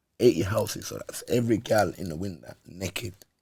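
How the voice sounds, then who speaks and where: A man speaks in an animated tone at a medium pitch. His voice is somewhat breathy. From Birmingham, England. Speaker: ex-prisoner, podcast guest. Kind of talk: casual interview.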